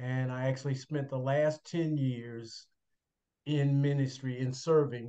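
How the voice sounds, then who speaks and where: Speaking at a fairly slow pace, a man uses a normal speaking voice of medium pitch with fairly even intonation. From Chicago, US Midwest. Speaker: retired pastor. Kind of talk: faith testimony interview.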